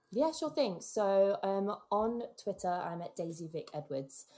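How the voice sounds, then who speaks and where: The woman's intonation rises and falls in a lively way. She keeps to a moderate pace. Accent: English. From England. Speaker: podcast producer and co-host. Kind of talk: casual chat.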